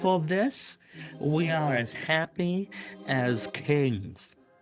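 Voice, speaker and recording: A put-on character voice at middle pitch and a very slow pace, with faint music in the background. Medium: audio drama.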